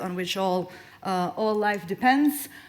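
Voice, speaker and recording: Here a woman talks at a medium pitch. Room echo is audible. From Serbia (Belgrade). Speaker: conservation policy expert. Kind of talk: conference presentation. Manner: fast.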